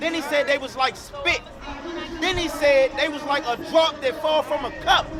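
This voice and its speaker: The speech is loud, with monotone, flat intonation. Crowd noise runs in the background. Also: man, extremely high pitch for a man, moderate pace. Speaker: street preacher. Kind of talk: street preaching.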